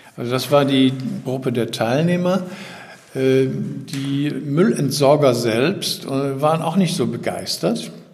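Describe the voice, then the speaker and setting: Amid audible room echo and noticeable background noise, a man speaks at a very slow pace, fairly high in pitch with ordinary pitch variation. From Germany, Düsseldorf. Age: 70s. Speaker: retired newspaper editor, environmental initiative founder. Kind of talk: interview.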